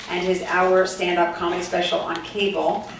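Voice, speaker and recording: A woman at a medium pitch speaks at a fairly quick pace over noticeable background noise. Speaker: event host. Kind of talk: stage introduction.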